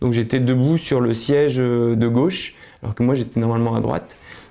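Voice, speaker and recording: Medium-pitched, dark and mellow in tone, a man's voice with ordinary pitch variation. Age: 30s. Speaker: accident survivor. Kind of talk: testimony. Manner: halting, many hesitations.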